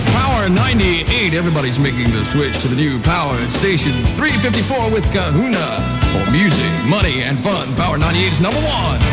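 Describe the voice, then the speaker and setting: Loud music plays in the background as a man speaks. He talks at a fairly quick pace with hardly any pauses. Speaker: radio DJ. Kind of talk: radio DJ on-air break with station promo. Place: booth.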